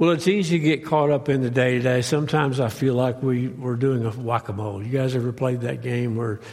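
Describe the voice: A man with a raspy, slightly mellow voice talks at a fairly quick pace, his medium pitch held in a fairly even intonation.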